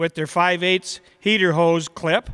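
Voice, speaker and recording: Loud and bright, sharp in tone, a man speaks at a high pitch. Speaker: awards presenter. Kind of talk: awards ceremony announcement.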